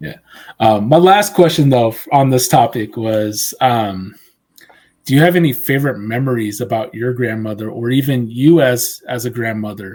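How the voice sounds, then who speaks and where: In an ordinary speaking voice, a man talks at a medium pitch and a moderate pace with lively intonation. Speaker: podcast host. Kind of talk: casual podcast interview talk.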